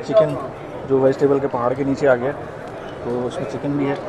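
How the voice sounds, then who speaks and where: Noticeable noise can be heard in the background as a man talks. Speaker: food vlogger. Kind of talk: casual vlog chat. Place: cafe. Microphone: lapel.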